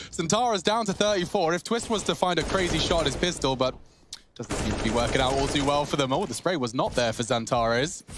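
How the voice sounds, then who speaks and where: Against noticeable background noise, a man with a fairly high pitch talks at a fairly quick pace with very wide pitch swings. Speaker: esports caster. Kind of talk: live commentary. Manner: excitable.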